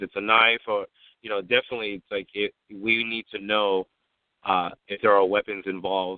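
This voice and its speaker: A man at a moderate pace with a fairly low pitch. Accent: American. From San Diego, California. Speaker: private security business owner, military veteran. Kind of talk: radio interview. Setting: radio show. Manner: halting, frequent fillers and repetitions.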